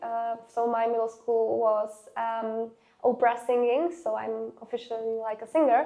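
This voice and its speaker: Speaking at a fairly slow pace, a woman with a Slovak accent uses fairly even intonation in a fairly high voice. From Slovakia, Nové Zámky near Hungarian border. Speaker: student council leader and activist. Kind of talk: interview. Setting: university interview. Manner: halting, many fillers.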